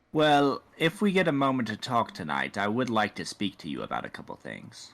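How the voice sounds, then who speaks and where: A man puts on a character voice. He talks at a medium pitch and a fairly quick pace. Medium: actual play. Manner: cool, formal, persistent.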